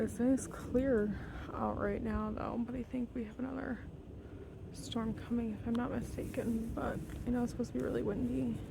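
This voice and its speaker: At a moderate pace, a woman talks through audible room echo and noticeable background noise. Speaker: nature vlogger feeding birds. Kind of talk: casual vlog narration. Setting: outdoors in snowy yard.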